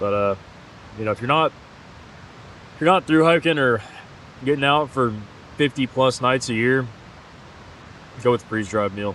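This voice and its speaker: A man at medium pitch and moderate pace, with ordinary pitch variation and long, frequent pauses. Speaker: hiking vlogger. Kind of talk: outdoor vlog narration. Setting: outdoors at a backcountry campsite.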